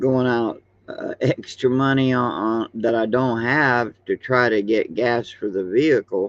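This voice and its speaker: With fairly even intonation, a man speaks at a fairly slow pace and a medium pitch. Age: 60s. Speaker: YouTuber. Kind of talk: casual monologue. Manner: halting, many fillers.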